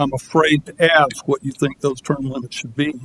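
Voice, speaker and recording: A man at a moderate pace, fairly high in pitch, in a monotone, flat intonation, with a dry, close sound, no echo and noticeable background noise. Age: 70s. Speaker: public commenter. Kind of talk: public comment at city council meeting. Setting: council chamber, public meeting.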